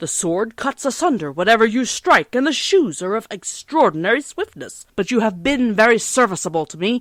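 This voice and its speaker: A woman uses a raised, projected, put-on character voice at a moderate pace in a very clean recording with a silent background. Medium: read story.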